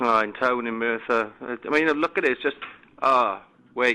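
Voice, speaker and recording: Here a man speaks in a Welsh accent at a moderate pace. His medium-pitched voice has a bright, sharp tone and fairly even intonation. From Wales. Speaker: complaining customer caller. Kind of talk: prank phone call. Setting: phone line. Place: home room.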